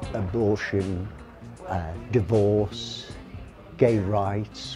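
Clear music plays in the background beneath a voice with ordinary pitch variation. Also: man. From London. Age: 70s. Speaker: cannabis campaigner. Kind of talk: street campaigning and interview; interview answer. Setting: outdoors on a street. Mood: warm, cheerful. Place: shop. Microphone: lapel.

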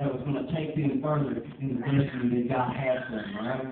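In a Southern US accent, the speaker talks at a very fast pace with an animated tone, with audible room echo. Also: man. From US South. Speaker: preacher. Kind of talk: sermon. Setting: church. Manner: animated, exhorting, rhythmic call-and-response style preaching. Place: church. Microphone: camera far.

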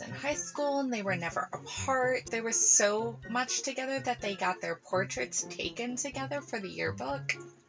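Clear music plays behind a woman's voice. She talks at a fairly slow pace. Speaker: film reviewer. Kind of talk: casual film review commentary. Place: home room.

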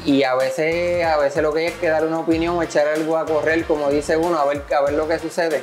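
A man speaks with monotone, flat intonation. Clear music is heard in the background. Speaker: interviewee. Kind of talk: interview answer. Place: workshop. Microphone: lapel.

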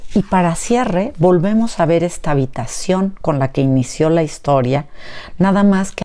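Over a quiet background, a woman with a fairly low voice and a dark, mellow tone speaks at a fairly slow pace with lively intonation. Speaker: educator and book reviewer. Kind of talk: poetry reading aloud, after an informal educational talk. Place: home room. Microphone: lapel.

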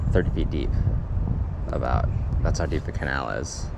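A man speaks at a moderate pace in a dry sound with no echo, with loud background noise around him. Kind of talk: casual vlog chat. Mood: relaxed, amused. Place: waterside. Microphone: phone near.

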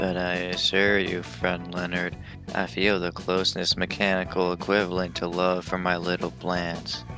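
Clear music plays behind a man doing a put-on character voice that sounds robotic. His pitch is very deep and low, and his pace is moderate. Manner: monotone, mechanical.

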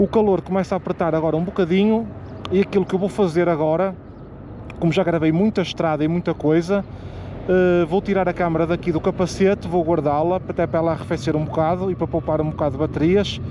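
Very fast speech with fairly even intonation and very even loudness, a dry sound with no echo, and light background noise. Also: man, high pitch for a man. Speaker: motorbike travel vlogger. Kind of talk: casual vlog chat. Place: street. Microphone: phone near.

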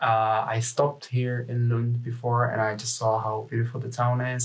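Speaking in a flat monotone, a man with a Czech accent has a medium-pitched voice. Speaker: university student. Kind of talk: casual chat. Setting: studio.

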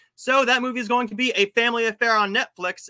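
A man projects a raised voice with a bright, sharp tone at a fairly quick pace over a quiet background. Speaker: movie show host. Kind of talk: movie review and news commentary. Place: home room. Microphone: webcam.

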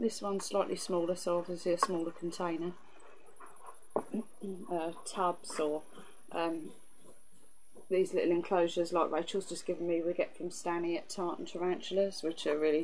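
A woman talks with fairly even intonation. Noticeable background noise is present. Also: fairly low pitch for a woman, moderate pace. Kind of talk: casual tutorial chat.

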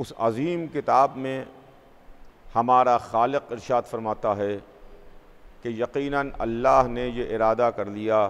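A man talks at a very slow pace with fairly even intonation, broken by long, frequent pauses. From India, Lucknow; India. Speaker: Shia cleric; preacher. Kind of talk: sermon. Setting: mosque with congregation. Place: church.

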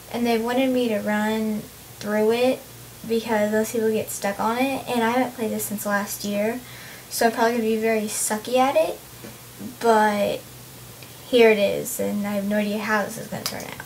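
A woman with a fairly high pitch speaks in a monotone, flat way at a moderate pace, leaving long, frequent pauses amid noticeable background noise. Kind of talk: casual game-play commentary. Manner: talks to herself, complaining.

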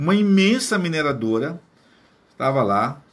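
His voice is fairly high for a man and somewhat breathy. The intonation is lively. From Amazonas, Brazil. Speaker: teacher and guide; teacher explaining geography. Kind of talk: casual explainer to camera; casual explanatory vlog talk. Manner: hesitant, repeats words. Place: home room. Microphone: phone near.

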